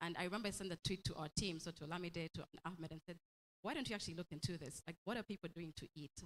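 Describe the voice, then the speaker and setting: A woman speaks at a very fast pace and fairly low pitch in an animated tone, with ordinary pitch variation and a dry, close sound with no echo. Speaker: company executive. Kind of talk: opening speech.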